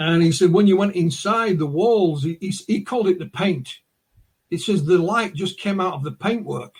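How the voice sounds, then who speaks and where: A man's high voice with a Northern English accent, lively intonation, and a moderate pace. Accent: North of England. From northern England, West Yorkshire. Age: 60s. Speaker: UFO researcher and author. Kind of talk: interview, storytelling.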